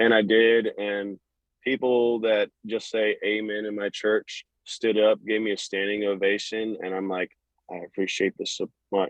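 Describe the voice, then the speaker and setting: With a Southern US accent, the speaker talks at a fairly slow pace in a monotone, flat intonation. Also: man, fairly low pitch for a man. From US South, North Florida. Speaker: country singer. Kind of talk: casual interview. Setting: phone call.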